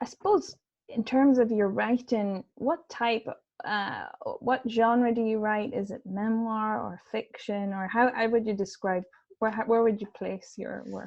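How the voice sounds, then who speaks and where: A woman speaks in an Irish accent at a fairly slow pace. Her intonation stays fairly even. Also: fairly high pitch for a woman. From Ireland. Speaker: event host. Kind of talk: interview. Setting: video call.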